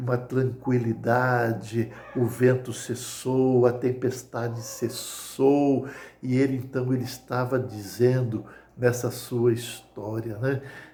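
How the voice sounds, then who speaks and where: Amid noticeable background noise and audible room echo, a man speaks at a very slow pace and medium pitch in a monotone, flat intonation. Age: 60s. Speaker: lay preacher. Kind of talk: sermon. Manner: hesitant with repetitions.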